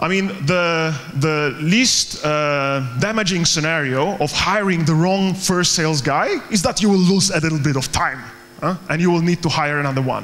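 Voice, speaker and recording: A man with a Polish accent at a moderate pace, ordinary pitch variation, very even loudness and light background noise. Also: fairly high pitch for a man. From Poland. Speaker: startup co-founder and recruiter. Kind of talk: conference talk. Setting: stage with audience. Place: hall.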